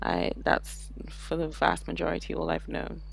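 Speaking at a moderate pace, a woman talks in a British accent. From England, with childhood in Saudi Arabia. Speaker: parent and expat. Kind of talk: casual interview.

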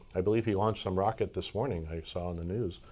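The recording is very clean with a silent background, as a man speaks at a fairly quick pace in a normal speaking voice. His pitch is fairly low, with ordinary pitch variation. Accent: American. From New York. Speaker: commercial real estate broker. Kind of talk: casual interview.

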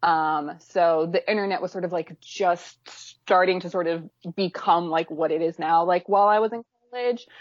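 A woman with an unremarkable speaking voice talks at a moderate pace in a fairly low pitch, her intonation fairly even. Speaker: fan video editor and fanfic writer. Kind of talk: casual chat.

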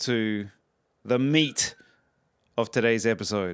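A man with an Australian accent speaks at a very slow pace with ordinary pitch variation in a very clean recording over a silent background. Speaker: podcast host. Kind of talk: casual interview chat. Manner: hesitant, many fillers.

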